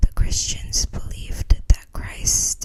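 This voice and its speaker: Noticeable background noise runs beneath whispering that proceeds at a fairly slow pace. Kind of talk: whispered book reading for relaxation. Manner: whispered, soft-spoken.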